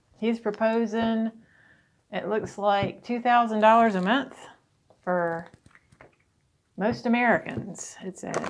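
The speech moves very slowly, broken by long, frequent pauses. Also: woman. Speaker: tarot reader. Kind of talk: tarot reading talk to camera. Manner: casual. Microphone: phone near.

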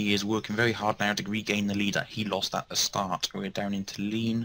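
Speaking at a fairly quick pace, a man has a fairly low pitch and a bright, sharp tone. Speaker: race commentator. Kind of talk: live race commentary, describing the on-track action as it unfolds. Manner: rapid-fire and breathless, stumbling over words with fillers as the action heats up.

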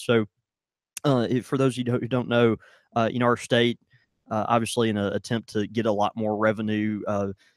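Over a quiet background, a man speaks at a fairly quick pace, the sound dry with no echo. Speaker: podcast co-host. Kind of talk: casual podcast chat. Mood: relaxed, amused. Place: shop. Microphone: studio mic.

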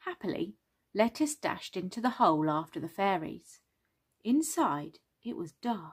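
The background is quiet while someone is reading aloud in a natural voice.

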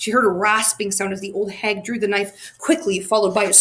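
Plain reading aloud is all this recording contains.

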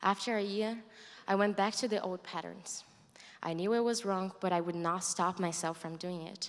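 A woman speaks with a Brazilian accent at medium pitch. Her pace is moderate and her intonation fairly even. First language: Portuguese. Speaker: college student. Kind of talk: testimony. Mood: earnest, reflective. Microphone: handheld.

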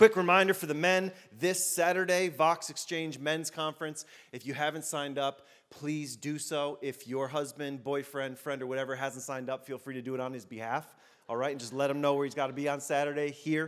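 A man talks fairly quickly with fairly even intonation. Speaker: pastor. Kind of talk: sermon. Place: church. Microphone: handheld.

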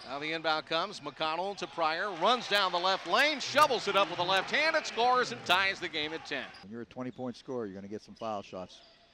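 A man talks over noticeable background noise. The sound is dry, with no echo. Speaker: basketball radio commentator. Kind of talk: live play-by-play sports commentary. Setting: game broadcast, highlights reel. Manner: rapid-fire, fluent, energetic play-by-play delivery. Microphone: headset.

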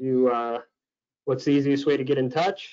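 A man with an American accent is heard, and the background is quiet. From US Midwest. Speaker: webinar host. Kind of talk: webinar moderation. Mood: friendly, upbeat. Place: home room. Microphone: webcam.

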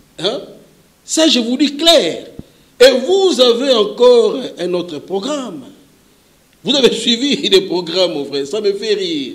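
Pausing long and often, a man speaks at a very slow pace in a high pitch that swings very widely. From Kinshasa, DR Congo. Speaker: politician. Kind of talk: interview. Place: studio. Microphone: handheld.

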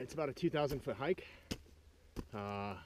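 Light background noise sits under a dry sound with no echo. The man speaks at a fairly quick pace with ordinary pitch variation. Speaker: sailing vlogger on a hike. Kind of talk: casual vlog chat. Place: forest. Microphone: phone near.

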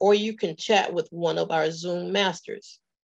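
A woman speaks. The background is quiet. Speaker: event emcee and division director. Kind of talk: event hosting. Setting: video call. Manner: formal. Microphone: webcam.

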